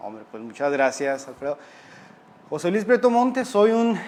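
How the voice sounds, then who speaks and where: A man in a northern Mexican accent speaks with lively intonation. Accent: Chihuahua northern Mexican. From Mexico, Chihuahua. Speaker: criminologist. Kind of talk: interview conversation.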